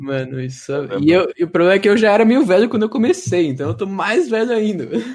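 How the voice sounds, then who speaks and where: A man talks very fast with high pitch, very wide pitch swings, and hardly any pauses. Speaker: former game moderator and YouTuber. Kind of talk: casual chat. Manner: casual slangy.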